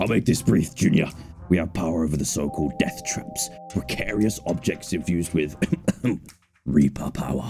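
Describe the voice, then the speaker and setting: A man's raspy put-on character voice, very deep and low in pitch, with a serious, menacing tone at a moderate pace over music in the background. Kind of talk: reading game dialogue in a character voice. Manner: serious, menacing, briefing a junior.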